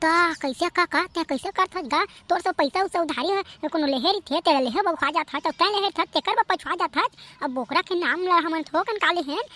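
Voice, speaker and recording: Using a cartoonish character voice pitched extremely high, a woman talks at a fairly quick pace. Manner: rough, rustic dialect.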